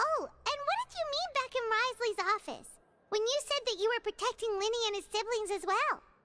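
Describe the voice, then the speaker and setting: An extremely high, squeaky put-on character voice moves at a fairly quick pace. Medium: video game.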